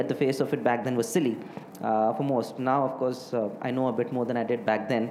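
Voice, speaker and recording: In an Indian accent, a man talks at a very fast pace amid noticeable background noise and audible room echo. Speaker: hotelier. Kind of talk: interview. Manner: halting, many fillers.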